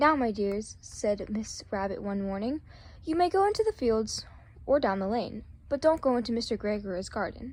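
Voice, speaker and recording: Lively intonation marks a somewhat breathy voice that keeps a moderate pace. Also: woman, fairly high pitch for a woman. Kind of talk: children's story reading. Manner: stuttering.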